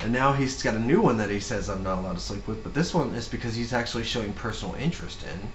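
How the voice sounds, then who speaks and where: A man talks at a very fast pace, with hardly any pauses, at a medium pitch and with ordinary pitch variation. Noticeable background noise and audible room echo fill the recording. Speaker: podcast co-host. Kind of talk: casual chat.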